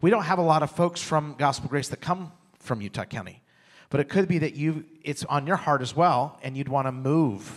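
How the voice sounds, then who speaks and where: On a very clean recording with a silent background, a man talks at a moderate pace in an ordinary speaking voice with ordinary pitch variation. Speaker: church pastor. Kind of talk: church announcement. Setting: church.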